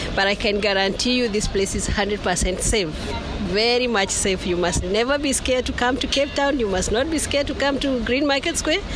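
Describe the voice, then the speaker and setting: A woman's high voice at a moderate pace, with lively intonation, very even loudness and hardly any pauses, plus audible room echo and crowd noise in the background. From Kenya, Murang'a. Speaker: market trader. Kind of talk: interview. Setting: market shop.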